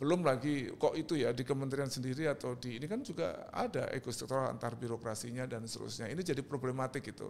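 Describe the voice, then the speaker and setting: The voice moves at a very fast pace with ordinary pitch variation. Vocal fry is present. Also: man. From Indonesia, East Java (Surabaya). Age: 60s. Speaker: artist and cultural figure. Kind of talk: podcast interview.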